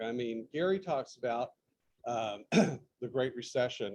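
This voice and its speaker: A man talks very slowly, his intonation lively. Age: 70s. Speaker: veteran real estate agent. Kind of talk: career story. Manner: halting with many fillers.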